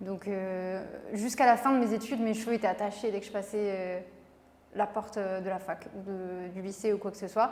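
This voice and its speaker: A woman at medium pitch and a moderate pace, in a monotone, flat intonation. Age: 20s. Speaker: beauty pageant winner and pharmacist. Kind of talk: interview.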